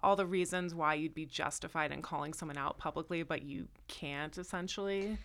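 A woman with a plain, everyday voice and a General American accent speaks at a fairly quick pace with a fairly low pitch, fairly even intonation and hardly any pauses, on a very clean recording with a silent background. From US Northeast (New Jersey). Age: 30s. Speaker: comedy writer. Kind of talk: casual chat.

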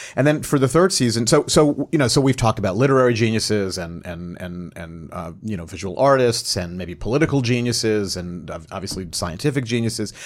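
With a plain, everyday voice, a man of medium pitch talks at a fairly quick pace with lively intonation and hardly any pauses. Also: big swings in loudness. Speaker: TV writer and showrunner. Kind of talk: roundtable panel discussion.

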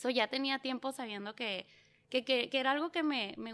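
Using a normal speaking voice, a woman talks at a fairly quick pace with ordinary pitch variation in a very clean recording with a silent background. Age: 30s. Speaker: small business owner and mother. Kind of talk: interview.

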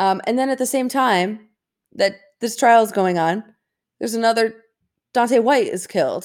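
This woman's fairly high voice moves at a moderate pace with ordinary pitch variation, broken by long, frequent pauses. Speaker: podcast co-host. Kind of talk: casual chat. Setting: remote recording on vacation.

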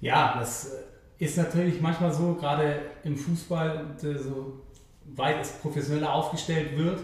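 The speaker uses a monotone, flat intonation at a fairly slow pace, with audible room echo. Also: man, fairly high pitch for a man. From Hamburg, Germany (Eimsbüttel). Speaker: sports TV reporter and former footballer. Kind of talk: podcast interview. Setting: live event venue.

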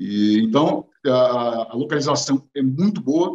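Fairly high in pitch, the man shows ordinary pitch variation. His pace is very slow. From Brazil, São Paulo city. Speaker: entrepreneur. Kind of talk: interview. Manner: halting, many fillers.

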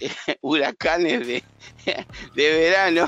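A man speaks with an Argentine accent. His pitch is fairly high. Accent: Rioplatense Argentine Spanish. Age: 70s. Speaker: stock market analyst and teacher. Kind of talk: casual market commentary chat.

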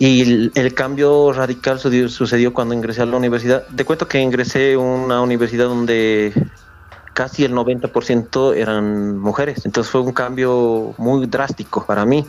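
A man speaks at a moderate pace in a flat monotone, his loudness very even, with noticeable background noise behind him. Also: medium pitch for a man. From Bolivia, Oruro. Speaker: psychologist, head of an association for the blind. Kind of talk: interview.

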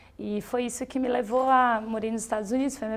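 In a flat monotone, a woman talks at a fairly quick pace with a fairly high pitch. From southern Brazil, Rio Grande do Sul. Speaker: traveller and volunteer filmmaker. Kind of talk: interview conversation.

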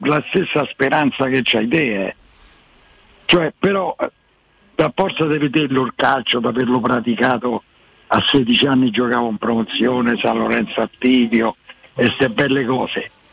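Speaking at a fairly slow pace with long, frequent pauses, a man with a Roman accent uses a medium pitch and ordinary pitch variation. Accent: Roman Italian. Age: 80s+. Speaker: caller. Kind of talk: casual chat. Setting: phone call.

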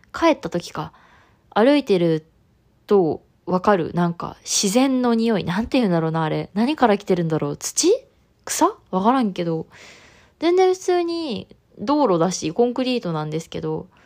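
A voice with very wide pitch swings, its very clean recording set on a silent background. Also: woman, medium pitch for a woman, moderate pace. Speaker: podcast host. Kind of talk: solo podcast monologue.

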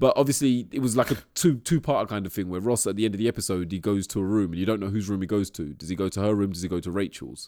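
On a very clean recording with a silent background, a man with a fairly low pitch and a dark, mellow tone talks very fast with ordinary pitch variation. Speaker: podcast host. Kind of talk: casual chat.

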